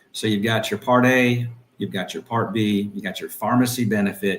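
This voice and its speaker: Delivered at a moderate pace in an American accent, this is an unremarkable speaking voice with fairly even intonation. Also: man. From Tallahassee, Florida (US South). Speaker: insurance business owner. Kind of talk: interview. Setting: live stream.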